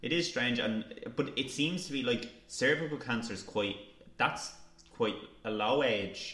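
With long, frequent pauses, a man talks at a fairly slow pace and medium pitch with ordinary pitch variation, amid noticeable background noise and audible room echo. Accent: Irish. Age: young. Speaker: podcast co-host, student journalist. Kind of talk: casual chat. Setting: studio table with mics.

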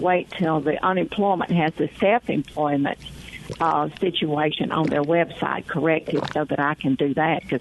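Behind noticeable background noise, a woman with a fairly low pitch speaks at a very even loudness. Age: old. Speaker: caller, landlord. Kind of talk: call-in question. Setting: phone call.

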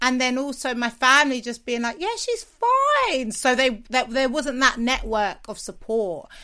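A woman speaks in a London accent, her high voice raised and projected in a bright, sharp, energetic tone. She talks fairly slowly with hardly any pauses and ordinary pitch variation. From South London. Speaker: TV and radio presenter, podcaster. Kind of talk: interview.

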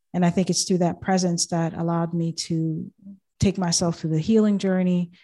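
With an American accent, a woman speaks in a fairly low, dark, mellow voice at a fairly quick pace and with monotone, flat intonation. The recording is very clean, with a silent background. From Boston, US. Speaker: life coach and podcast host. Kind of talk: casual interview chat.

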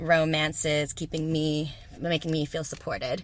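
A woman with an American accent speaks at a moderate pace, her very deep, low pitch paired with a bright, sharp tone. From Texas. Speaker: yoga teacher. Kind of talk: casual chat. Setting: in a van at a festival.

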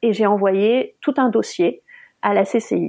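A woman speaks at medium pitch with lively intonation and vocal fry. The background is quiet. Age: 30s. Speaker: mother sharing childbirth injury story. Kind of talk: personal testimony.

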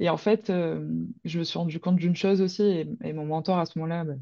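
Her tone is dark and mellow, at a fairly low pitch for a woman. She talks at a fairly quick pace. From Provence, near Marseille. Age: 20s. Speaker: horse trainer and behaviourist. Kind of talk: casual interview.

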